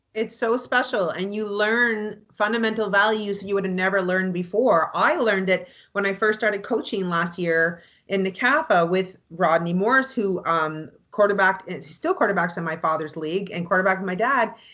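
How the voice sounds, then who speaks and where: Loud and animated, a woman with a Canadian accent talks with hardly any pauses and ordinary pitch variation. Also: medium pitch for a woman, moderate pace. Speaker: real estate agent and anthem singer. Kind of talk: interview chat.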